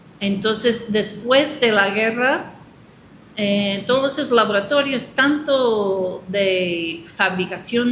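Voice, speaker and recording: With a non-native accent, a woman speaks very slowly in a fairly high voice with ordinary pitch variation, and audible room echo surrounds her. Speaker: agroecology expert. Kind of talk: interview. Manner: halting.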